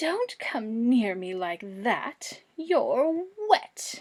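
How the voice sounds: A woman uses a put-on character voice at a high pitch with very wide pitch swings. She speaks at a very slow pace, and hissing is audible.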